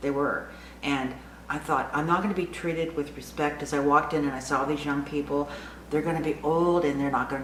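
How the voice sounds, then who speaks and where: The woman talks fairly quickly, with audible room echo and noticeable background noise in the recording. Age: 60s. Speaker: lifestyle vlogger for women over 60. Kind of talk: casual vlog monologue. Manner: animated.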